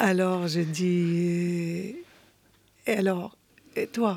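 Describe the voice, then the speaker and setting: A woman's fairly low, monotone, flat voice with an Arabic accent. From Syria. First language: Arabic (speaking French). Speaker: poet. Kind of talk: interview. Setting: radio studio.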